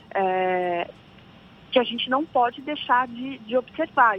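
With lively intonation, the woman talks at a fairly slow pace. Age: 30s. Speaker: labor law consultant. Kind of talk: radio interview. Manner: hesitant, frequent fillers.

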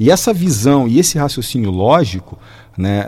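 A somewhat breathy man talks at a moderate pace. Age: 40s. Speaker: mechanical engineer and teacher. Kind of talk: radio interview.

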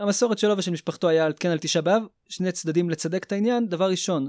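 Talking at a very fast pace, a man is heard in a very clean recording with a silent background and a dry, close sound with no echo. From Israel, Petah Tikva. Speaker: engineer and yeshiva student. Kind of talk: podcast discussion.

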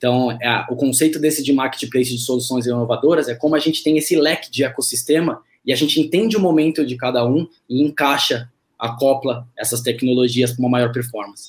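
Speaking fairly quickly, a man uses a plain, everyday voice at a medium pitch with ordinary pitch variation. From São Paulo, Brazil. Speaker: startup co-founder, digital innovation head. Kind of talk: casual interview.

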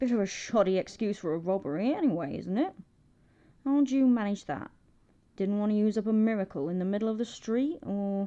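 Against a quiet background, a woman of medium pitch growls in a put-on character voice at a fairly quick pace. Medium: read story. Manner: sardonic, clipped, swearing.

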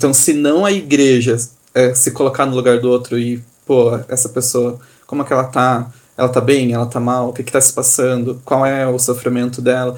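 A man's monotone, flat delivery at a moderate pace. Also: medium pitch for a man. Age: 30s. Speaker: theatre company co-founder, architect. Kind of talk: casual chat.

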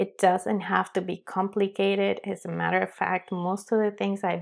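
This woman has a strong non-native accent and a medium pitch. She speaks fairly slowly in a very clean recording with a silent background. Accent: strong foreign. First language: not English. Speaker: podcast host and life coach. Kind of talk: solo podcast intro monologue. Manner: casual, chatty, with fillers.

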